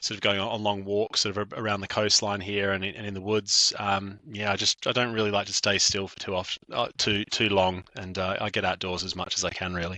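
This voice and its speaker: A man talks at a fairly quick pace with hardly any pauses. His intonation is monotone and flat, at a fairly low pitch. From Australia. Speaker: event director. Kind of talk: podcast interview. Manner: hesitant, many fillers and restarts.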